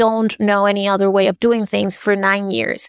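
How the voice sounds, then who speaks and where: In a Spanish accent, a woman speaks at a moderate pace in a fairly high pitch, the sound dry and close with no echo. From Venezuela. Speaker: art advisor and author. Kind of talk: interview.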